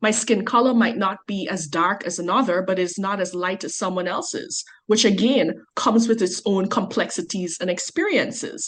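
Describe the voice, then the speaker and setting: A somewhat breathy woman with a Guyanese accent at a medium pitch, her pitch varying in an ordinary way, with hardly any pauses. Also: moderate pace. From Guyana. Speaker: researcher on migration. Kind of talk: podcast interview.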